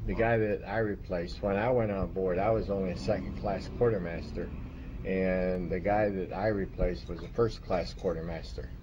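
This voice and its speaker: At a moderate pace, a man with an unremarkable speaking voice speaks fairly low in pitch with ordinary pitch variation. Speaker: Coast Guard veteran. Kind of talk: oral history interview.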